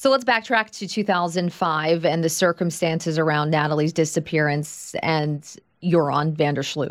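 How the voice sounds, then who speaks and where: In a very clean recording with a silent background, a woman with an American accent and an ordinary speaking voice talks at a moderate pace and a fairly low pitch, with ordinary pitch variation and hardly any pauses. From Long Island, New York. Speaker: podcast host. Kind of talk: interview; scripted narration.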